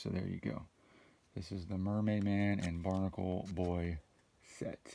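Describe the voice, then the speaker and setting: A soft-spoken man with a very deep, low pitch and a dark, mellow tone, at a moderate pace with fairly even intonation. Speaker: trading card unboxing YouTuber. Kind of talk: casual unboxing commentary. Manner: soft-spoken, low talker.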